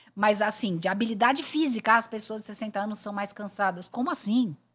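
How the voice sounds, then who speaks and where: Speaking at a fairly quick pace, a woman with a fairly high pitch sounds animated and somewhat breathy. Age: 60s. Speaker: headhunter and speaker. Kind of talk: podcast interview.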